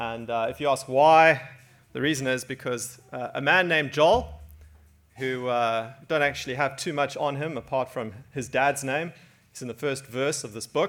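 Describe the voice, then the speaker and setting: A man talks in an ordinary speaking voice at a medium pitch. His pace is moderate, and his pitch varies in an ordinary way. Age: 40s. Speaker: preacher. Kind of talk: sermon.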